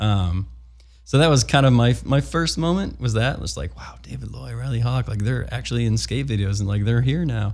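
This man talks at a fairly quick pace in a fairly low, somewhat breathy voice with very wide pitch swings and an American accent. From US Midwest, Chicago. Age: 30s. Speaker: skateboard filmer. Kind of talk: casual interview.

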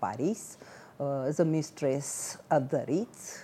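A woman speaks at a very slow pace. Her very deep, low pitch comes with a dark, mellow tone. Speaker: book presenter, translator. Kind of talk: book discussion.

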